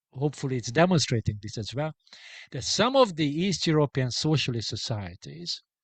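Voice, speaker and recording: Against a quiet background, a man with a Hungarian accent speaks in a somewhat breathy voice with very wide pitch swings, the sound dry and close with no echo. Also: fairly high pitch for a man. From Hungary. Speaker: sociologist and book author. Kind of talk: academic Q&A. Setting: hybrid book launch event. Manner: hesitant, many filler sounds.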